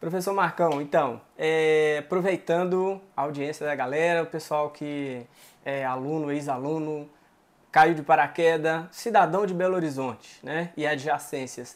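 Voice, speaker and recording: The man has an ordinary speaking voice, fairly high in pitch, and he speaks at a fairly slow pace. It is a very clean recording with a silent background. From Minas Gerais, Brazil. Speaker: interviewer. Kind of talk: interview.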